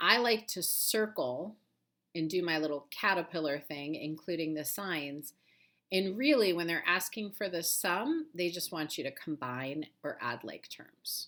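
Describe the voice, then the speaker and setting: The recording is very clean against a silent background. A woman talks at a moderate speed. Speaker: math teacher. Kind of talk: tutorial.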